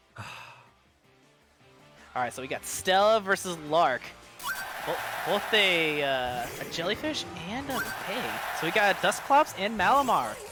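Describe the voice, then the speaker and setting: Someone speaks in an excited tone with long, frequent pauses while music plays in the background. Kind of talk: esports match commentary, play-by-play of a Pokemon battle. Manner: excited, fast.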